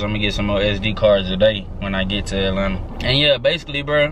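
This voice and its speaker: Noticeable background noise behind a man's dry voice, free of echo. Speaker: vlogger. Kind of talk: casual vlog chat. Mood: relaxed, upbeat. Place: car. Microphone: phone near.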